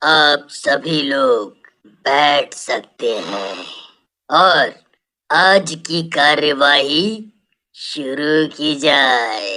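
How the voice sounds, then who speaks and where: A raspy, menacing, cartoonish character voice at a low-to-middle pitch and a very slow pace. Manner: commanding, menacing.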